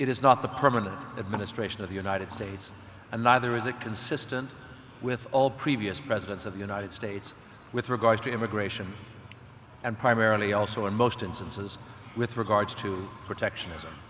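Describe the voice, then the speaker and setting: This man has a plain, everyday voice, pitched fairly low. His pace is fairly quick and his intonation fairly even. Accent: American. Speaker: panelist. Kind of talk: panel debate.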